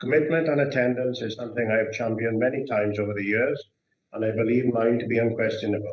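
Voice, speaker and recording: Words come out extremely quickly, and the intonation stays mostly level. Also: man, medium pitch for a man. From Wales, Brecon Beacons area. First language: Welsh. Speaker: councillor. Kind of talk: formal candidacy speech. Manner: halting.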